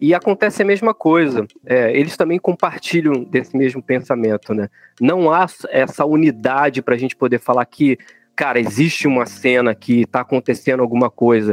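Recorded with a dry, close sound and no echo, a man at medium pitch speaks in an ordinary speaking voice at a moderate pace with lively intonation. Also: very even loudness. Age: 40s. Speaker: drummer and lyricist of a rock band. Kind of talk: casual chat.

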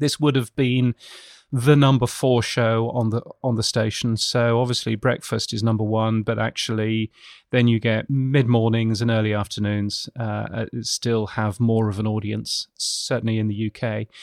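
A man with a British accent at medium pitch, monotone and flat, at a moderate pace on a very clean recording with a silent background. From United Kingdom. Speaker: radio futurologist. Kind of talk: interview. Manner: halting.

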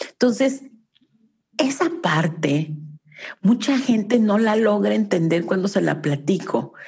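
Using very wide pitch swings around a medium pitch, a woman speaks at a very slow pace with very even loudness. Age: 50s. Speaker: family constellation therapist. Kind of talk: casual interview.

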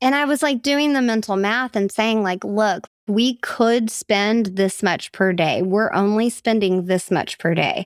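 A woman's fairly high, normal speaking voice at a fairly slow pace, with ordinary pitch variation, very even loudness, hardly any pauses, and a very clean, silent, dry, close recording with no echo. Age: 30s. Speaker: podcast co-host. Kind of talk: casual chat.

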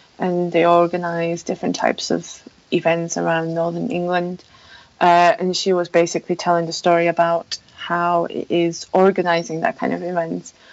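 With a Polish accent, a woman speaks in a flat monotone. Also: moderate pace. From Poland. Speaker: mountain bike website founder. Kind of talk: interview conversation. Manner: halting, many fillers.

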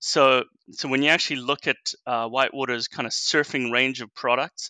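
At a moderate pace, a man speaks at medium pitch with fairly even intonation and a bright, sharp tone, the sound dry and close with no echo. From South Africa. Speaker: wave pool company executive. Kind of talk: interview. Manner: halting, many repeated words.

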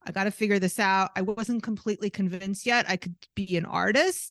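This woman speaks at a fairly quick pace in a normal speaking voice with fairly even intonation. The sound is dry and close with no echo, over a quiet background. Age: 50s. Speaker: artist and art business coach. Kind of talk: interview conversation.

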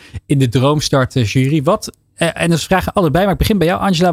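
Fairly high for a man, this plain, everyday voice moves at a fairly quick pace with lively intonation. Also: dry, close sound with no echo. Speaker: radio host. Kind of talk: radio talk show. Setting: studio.

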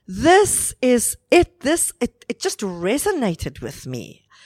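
Recorded very cleanly with a silent background and a dry, close sound with no echo, a woman with a South African accent speaks with very wide pitch swings. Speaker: wedding celebrant and inspirational speaker. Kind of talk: interview, personal testimony. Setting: hotel venue recording.

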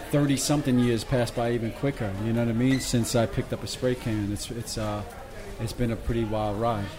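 Amid noticeable background noise and audible room echo, a man speaks at a fairly quick pace and medium pitch with fairly even intonation. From Brooklyn, New York. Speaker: graffiti artist and restaurant owner. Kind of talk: casual interview. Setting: restaurant.

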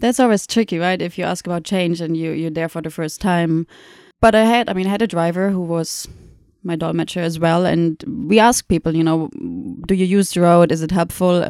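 A woman with a German accent talks at a fairly quick pace, her fairly low pitch moving with ordinary variation. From Germany (Munich). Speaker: documentary photographer. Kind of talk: podcast interview. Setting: university office.

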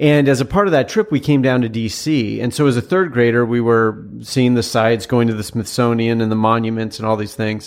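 With hardly any pauses, an unremarkable speaking voice moves at a fairly quick pace with ordinary pitch variation. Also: man, medium pitch for a man. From Washington State, US Pacific Northwest. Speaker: former presidential candidate. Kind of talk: interview conversation.

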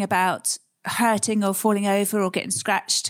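On a very clean recording with a silent background, a woman speaks at a medium pitch. Her pace is moderate and her intonation fairly even. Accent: southern English. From southern England, Surrey. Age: middle-aged. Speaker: adventurer and psychologist. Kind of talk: interview conversation.

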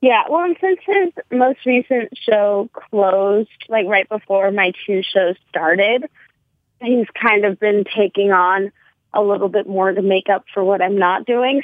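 A woman with an ordinary speaking voice talks at a fairly slow pace and medium pitch with ordinary pitch variation. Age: 20s. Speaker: actor and retail worker. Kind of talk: casual chat. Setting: phone call.

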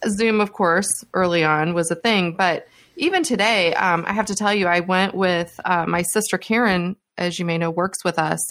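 With a normal speaking voice, a woman of medium pitch talks at a moderate pace and very even loudness. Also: fairly even intonation. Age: 50s. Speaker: HR tech analyst and podcaster. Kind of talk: casual interview chat.

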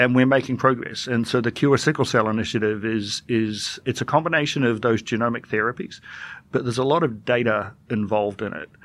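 A man's medium-pitched voice at a fairly quick pace, with ordinary pitch variation, against a quiet background. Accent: New Zealand. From New Zealand, Dunedin (south). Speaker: government IT executive. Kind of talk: interview.

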